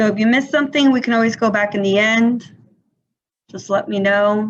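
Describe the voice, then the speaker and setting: Fairly quick and fairly even in intonation, a woman talks at fairly high pitch. It is a normal speaking voice. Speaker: teacher. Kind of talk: lecture.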